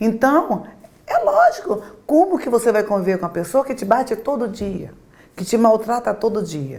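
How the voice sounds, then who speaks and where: A woman's fairly high voice with very wide pitch swings and long, frequent pauses. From Brazil, Rio Grande do Norte (Natal), moved to Rio at nine. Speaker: pastor. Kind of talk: interview testimony.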